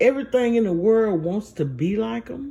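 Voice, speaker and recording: A woman speaks at a fairly slow pace and a medium pitch, with very wide pitch swings. Her tone is dark and mellow, and somewhat breathy. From US South. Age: 60s. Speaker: vlogger. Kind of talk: personal monologue.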